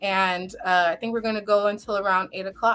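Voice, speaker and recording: On a very clean recording with a silent background, a woman with an unremarkable speaking voice talks at medium pitch and a fairly quick pace. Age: young. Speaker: lawyer and local politician. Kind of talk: live talk show interview.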